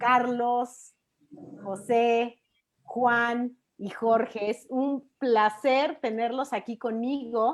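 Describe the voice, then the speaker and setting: Speaking with a Mexican accent, a woman uses a high pitch and fairly even intonation. Her pace is very slow. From Mexico City. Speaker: talk show host, teacher and mother. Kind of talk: live-streamed panel discussion. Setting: video call, live stream.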